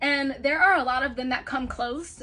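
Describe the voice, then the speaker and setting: A woman speaks in a raised, projected voice at a high pitch and a moderate pace. Her tone is animated. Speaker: astrologer. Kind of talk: casual chat.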